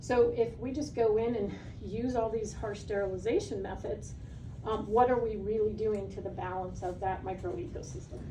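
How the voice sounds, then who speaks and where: The intonation stays fairly even. Noticeable background noise and audible room echo come through. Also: woman, fairly high pitch for a woman. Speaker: pet nutrition educator. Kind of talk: seminar talk. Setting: live seminar with audience. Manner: fast.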